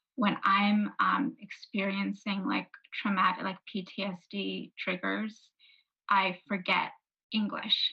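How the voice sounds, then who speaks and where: This woman talks very slowly with vocal fry, in a New York accent. Her tone is bright and sharp, and her intonation stays fairly even. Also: medium pitch for a woman. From New York City (Brooklyn and Queens). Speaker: author. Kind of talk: book talk conversation.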